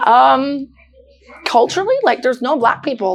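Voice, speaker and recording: At a moderate pace, a woman talks in an animated tone over noticeable background noise. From Newfoundland, Canada. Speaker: model and dancer. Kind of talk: casual interview chat. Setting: studio.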